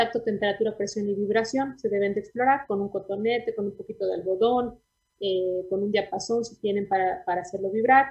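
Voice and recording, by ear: A woman's slightly husky voice at a fairly quick pace. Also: medium pitch for a woman, fairly even intonation.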